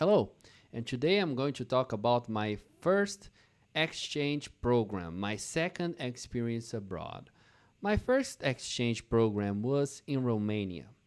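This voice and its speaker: With a non-native accent, a man talks at a fairly slow pace, his pitch swinging very widely. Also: medium pitch for a man, very clean recording, silent background. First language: not English. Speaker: English teacher. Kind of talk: slow English storytelling for learners.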